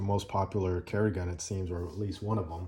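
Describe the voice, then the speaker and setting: A relaxed, somewhat breathy voice with a dark, mellow tone over a quiet background. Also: man. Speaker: gun owner reviewer. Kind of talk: casual talk to camera. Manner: relaxed, hesitant with fillers.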